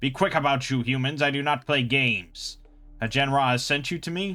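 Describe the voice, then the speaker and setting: Putting on a character voice with a fairly high pitch, a man talks at a fairly quick pace with hissing. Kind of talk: formal, archaic. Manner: hissing, menacing.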